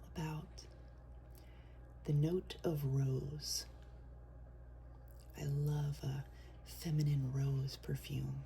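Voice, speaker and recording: Soft-spoken, a woman speaks at a very slow pace with long, frequent pauses amid noticeable background noise. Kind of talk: soft-spoken ASMR perfume review. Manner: soft-spoken, relaxing.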